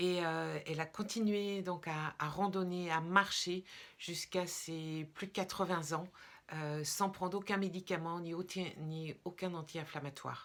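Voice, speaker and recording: Fairly even intonation and a fairly slow pace come through in a very clean recording with a silent background. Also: woman, fairly low pitch for a woman. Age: 60s. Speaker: product seller / wellness vlogger. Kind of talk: testimonial sales pitch. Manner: hesitant, many filler sounds.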